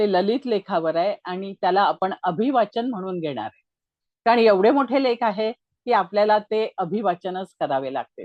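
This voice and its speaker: A woman with an ordinary speaking voice talks at a medium pitch with lively intonation. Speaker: astrologer and writer. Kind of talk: casual introduction to viewers.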